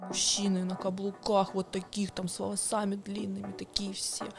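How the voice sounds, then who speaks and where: A woman's fairly slow, monotone, flat delivery over noticeable background noise. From southern Russia, Volgodonsk. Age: 20s. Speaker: party organizer. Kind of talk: podcast interview.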